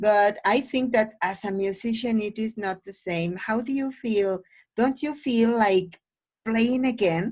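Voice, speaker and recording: A woman with a fairly high, somewhat breathy voice speaks at a fairly slow pace against a quiet background. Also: ordinary pitch variation. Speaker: English teacher. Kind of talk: oral exam conversation.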